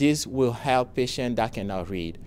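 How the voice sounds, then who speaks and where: A man speaks with a non-native accent and ordinary pitch variation. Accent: foreign accent, noticeable. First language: not English; speaks four languages. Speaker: software founder, pharmacy professional. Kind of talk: scripted pitch presentation. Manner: formal.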